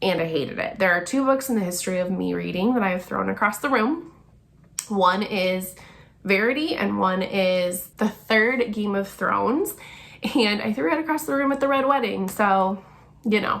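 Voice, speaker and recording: A woman's medium-pitched voice with lively intonation at a moderate pace, with audible room echo. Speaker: book reviewer YouTuber. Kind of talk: casual vlog talk to camera.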